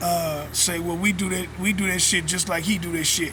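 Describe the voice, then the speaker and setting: Through noticeable background noise and audible room echo, a man with a high pitch speaks at a fairly slow pace in a monotone, flat intonation. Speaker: vlogger. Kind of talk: casual monologue.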